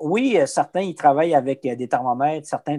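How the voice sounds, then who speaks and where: With a Quebec accent, a man talks at a moderate pace in a fairly high voice with a dark, mellow tone. His pitch moves in an ordinary way, and the recording is dry and close with no echo. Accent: Québécois French. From Quebec, Abitibi. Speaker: business development rep for a meat producer. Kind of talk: casual interview. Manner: hesitant, many fillers and repetitions.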